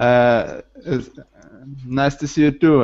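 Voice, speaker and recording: This speaker uses a Ukrainian accent and talks at a very slow pace with fairly even intonation. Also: man. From Ukraine. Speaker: language student. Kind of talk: online language lesson. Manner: halting, many hesitations.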